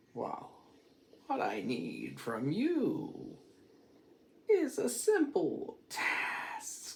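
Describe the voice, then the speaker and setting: Using a put-on character voice, a man speaks at an extremely high pitch, very slowly and with long, frequent pauses. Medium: read story.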